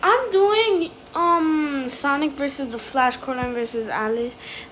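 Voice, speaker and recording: There is noticeable noise in the background. The speaker is a woman. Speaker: video reactor. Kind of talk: casual reaction commentary.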